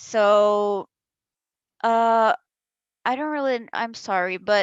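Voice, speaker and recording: Her intonation is lively. A woman speaks at a medium pitch with a Brazilian Portuguese accent. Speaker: esports player. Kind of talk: press conference answer. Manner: halting.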